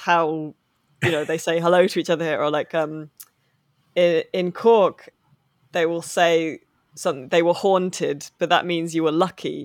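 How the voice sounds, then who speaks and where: A woman's fairly low, monotone voice with flat intonation and an English accent, at a moderate pace, in a very clean recording with a silent background. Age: 30s. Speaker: novelist and video games journalist. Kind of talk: casual interview chat.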